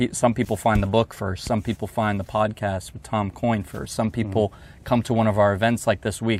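A man with an American accent speaks in a normal speaking voice, fairly low-pitched and fairly quick, with hardly any pauses, fairly even intonation and big swings in loudness, on a very clean recording with a silent background. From Northern Virginia (Alexandria). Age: young. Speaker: golf magazine editor. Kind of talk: casual interview chat. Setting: outdoors at golf course.

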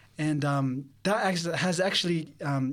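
A man with an Australian accent at a fairly high pitch, with ordinary pitch variation and a moderate pace. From Sydney, Australia. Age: 20s. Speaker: theology student. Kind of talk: interview testimony. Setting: studio. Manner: halting.

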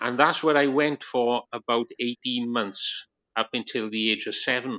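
At a fairly slow pace, a man with a Welsh accent talks at medium pitch with fairly even intonation. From Wales. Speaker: Baptist minister, former atheist. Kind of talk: testimony. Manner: laid back.

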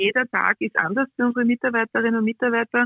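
The woman has an unremarkable speaking voice pitched fairly high. Her intonation is fairly even. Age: 40s. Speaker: railway executive. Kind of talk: interview. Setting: remote call-in.

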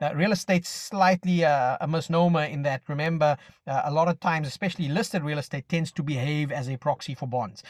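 A man's fairly high, somewhat breathy voice at a very fast pace, with ordinary pitch variation and a dry, close sound with no echo. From South Africa. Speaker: macro analyst, podcast co-host. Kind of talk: casual finance discussion. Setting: in his car, remote call.

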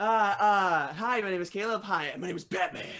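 A man puts on a gravelly character voice pitched high. He moves at a moderate pace with ordinary pitch variation.

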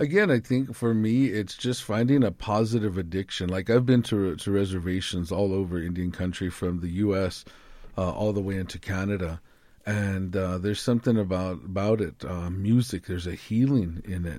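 A man speaks with a dark, mellow tone at a fairly low pitch. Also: ordinary pitch variation, moderate pace. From Arizona, Tucson (Yaqui tribe). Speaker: classical guitarist and motivational speaker. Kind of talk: interview conversation. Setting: studio.

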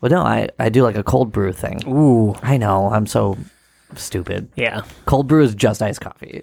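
The man keeps to a moderate pace, and his pitch shows ordinary variation. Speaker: comedy podcast host. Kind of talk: casual chat. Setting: studio.

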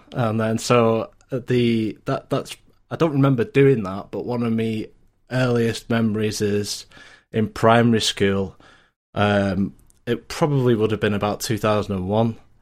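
A man with a Lancashire accent talks at a fairly slow pace and a medium pitch. His intonation is fairly even, in a very clean recording with a silent background. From Lancashire, northern England. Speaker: IT support worker. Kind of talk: casual chat. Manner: halting, many fillers.

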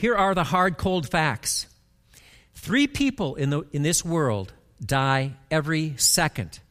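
A man with a plain, everyday voice speaks at a fairly slow pace, pitched fairly high with lively intonation, in a very clean recording with a silent background. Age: 60s. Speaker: pastor. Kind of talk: sermon. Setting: church.

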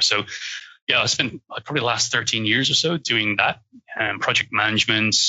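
A man with an Irish accent, fairly low in pitch, at a fairly quick pace with ordinary pitch variation. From Ireland. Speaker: cybersecurity professional. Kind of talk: interview conversation.

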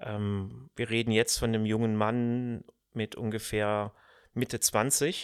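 Here a man talks at a very slow pace, with medium pitch and fairly even intonation. The sound is dry and close with no echo, on a very clean recording with a silent background. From Germany, Cologne, later Odenwald. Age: 50s. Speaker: podcast host, management consultant. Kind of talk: personal monologue.

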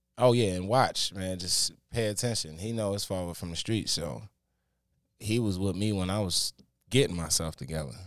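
A man speaks at a moderate pace, his fairly low pitch showing ordinary variation. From Baltimore, Maryland. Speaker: singer and music producer. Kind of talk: casual interview. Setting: studio.

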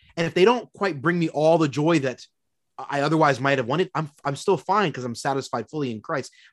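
In a normal speaking voice with an American accent, a man talks fairly quickly at a fairly high pitch with lively intonation. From Philadelphia, Pennsylvania. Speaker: college professor of theology. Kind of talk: casual theological discussion.

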